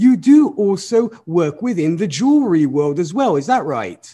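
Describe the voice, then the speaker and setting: Enthusiastic in tone, this man speaks with a high pitch. His intonation is lively. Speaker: radio host and DJ. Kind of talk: radio interview. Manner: enthusiastic, friendly.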